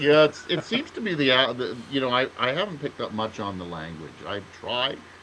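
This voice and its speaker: Over noticeable background noise, a man with a Canadian accent talks fairly quickly in a medium-pitched voice with very wide pitch swings. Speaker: writer, podcast co-host. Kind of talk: casual chat. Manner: halting, many fillers and restarts.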